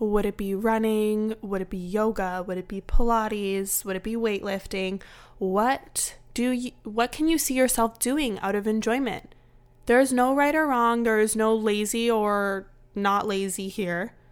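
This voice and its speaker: Using a plain, everyday voice, a woman with a fairly high pitch speaks at a fairly slow pace with ordinary pitch variation, on a very clean recording with a silent background. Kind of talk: guided movement meditation, warm wellness-coach pep talk. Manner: soothing, encouraging, gently paced with an upbeat, empowering tone.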